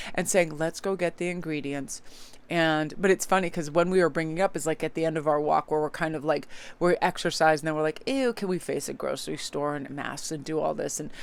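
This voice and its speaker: A woman speaks at a very fast pace with a very deep, low pitch. The recording is very clean, with a silent background. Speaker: tarot reader. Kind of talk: casual vlog chat. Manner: speeds up when excited.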